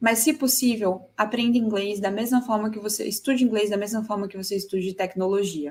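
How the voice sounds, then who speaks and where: At a medium pitch, a woman talks in a somewhat breathy voice at a moderate pace. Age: 30s. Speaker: tech conference speaker. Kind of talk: conference talk.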